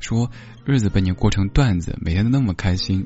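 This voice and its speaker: Somewhat breathy and fairly low in pitch, a man speaks at a moderate pace with lively intonation. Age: 30s. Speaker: late-night radio host. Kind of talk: casual chat. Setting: hotel room remote broadcast.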